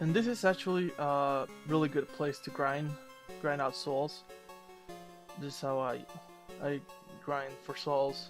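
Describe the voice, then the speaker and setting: Over music in the background, a man with a fairly high pitch and ordinary pitch variation talks at a fairly slow pace with long, frequent pauses. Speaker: gamer doing let's play commentary. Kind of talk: video game walkthrough commentary. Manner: mumbling, slurring, long pauses.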